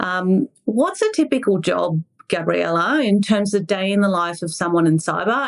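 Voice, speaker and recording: The speaker has an Australian accent and lively intonation. The pace is moderate. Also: woman. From Mexico. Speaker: podcast host. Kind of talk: podcast interview.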